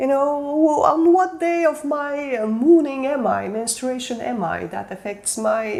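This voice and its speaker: The speaker is a woman, going at a fairly slow pace. Her pitch rises and falls over a very wide range. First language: not English. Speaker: self-development coach. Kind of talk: motivational talk. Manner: halting.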